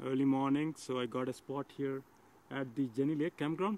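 Recorded with a dry sound and no echo over light background noise, a man speaks at a moderate pace with fairly even intonation. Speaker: travel vlogger. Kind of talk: casual vlog chat. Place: forest. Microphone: phone near.

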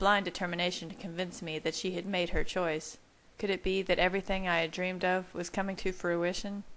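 Fairly even intonation in a natural read-aloud voice

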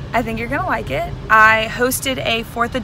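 A woman at a moderate pace with ordinary pitch variation, in a dry sound with no echo and noticeable background noise. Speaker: vlogger. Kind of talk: casual vlog chat. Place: car. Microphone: phone near.

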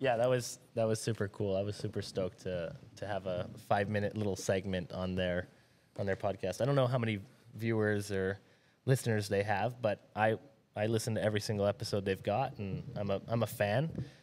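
A man at a fairly low pitch, fairly quick pace and fairly even intonation, over light background noise. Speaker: podcast guest. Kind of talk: casual chat. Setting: studio. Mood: relaxed, friendly. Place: shop. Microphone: studio mic.

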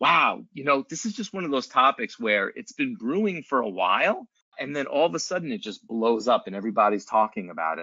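With vocal fry and a fairly high pitch, a man talks at a fairly quick pace with hardly any pauses, very wide pitch swings and big swings in loudness. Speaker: lawyer and podcast host. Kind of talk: conversational podcast discussion. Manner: animated.

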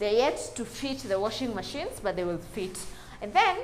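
Amid light background noise, a woman speaks at a moderate pace. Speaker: house tour host. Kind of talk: casual house tour commentary. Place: home room. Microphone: lapel.

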